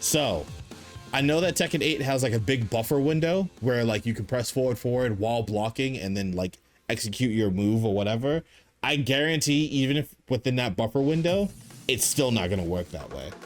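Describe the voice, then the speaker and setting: Here a man talks with a Boston accent at medium pitch. His pace is moderate and his intonation lively. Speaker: gaming YouTuber. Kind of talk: casual video game commentary. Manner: casual, filler-heavy.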